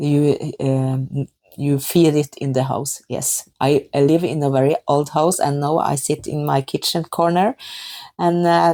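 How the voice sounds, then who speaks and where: A woman's fairly slow, dark, mellow voice in a Norwegian accent, dry and close with no echo. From Norway. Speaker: knitting podcaster. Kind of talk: casual podcast talk. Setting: kitchen at home. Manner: halting, many fillers.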